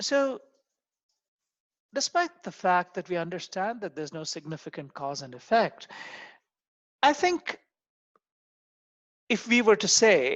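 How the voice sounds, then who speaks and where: Fairly slow, non-native accented speech with long, frequent pauses against a quiet background. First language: not English. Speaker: university lecturer. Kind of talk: lecture. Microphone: video call.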